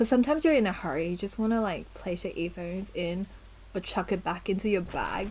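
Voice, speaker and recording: A woman's medium-pitched voice with vocal fry. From Australia. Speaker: gaming livestreamer. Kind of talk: casual livestream chat.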